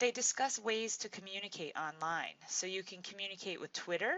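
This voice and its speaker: A woman speaks in a plain, everyday voice at a fairly slow pace, her intonation lively. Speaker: teacher. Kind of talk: tutorial.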